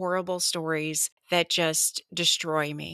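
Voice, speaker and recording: The tone is solemn and warm, and the sound is dry and close with no echo. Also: woman. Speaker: true crime podcast host. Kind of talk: true-crime narration. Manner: measured, solemn storytelling, with warm, conversational asides; earnest and emotional when praising the mother.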